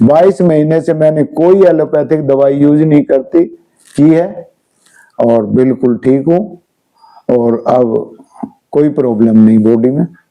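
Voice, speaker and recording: Using a plain, everyday voice, a man speaks at a fairly high pitch with ordinary pitch variation. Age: 60s. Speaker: wellness and health coach. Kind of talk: interview.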